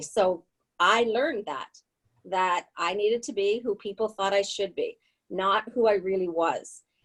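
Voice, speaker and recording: A woman talks with a normal speaking voice at a medium pitch. Her pace is moderate and her pitch variation ordinary. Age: 60s. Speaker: spiritual author, guest. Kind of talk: personal testimony in interview.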